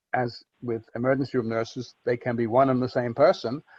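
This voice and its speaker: A man's medium-pitched voice in a Liverpool accent, monotone and flat, at a moderate pace, with a dry, close sound and no echo. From Liverpool, England. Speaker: storyteller, accident survivor. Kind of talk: podcast interview answer.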